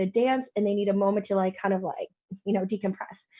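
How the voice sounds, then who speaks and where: A woman at a very fast pace, somewhat breathy, in a dark, mellow tone. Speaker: show panelist. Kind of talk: casual chat.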